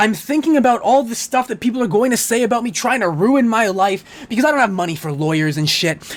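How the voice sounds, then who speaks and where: Over noticeable background noise, a man talks at a very fast pace with an extremely high pitch and lively intonation. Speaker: YouTuber ranting on dating topics. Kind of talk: rant. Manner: fast, jittery; stuttering.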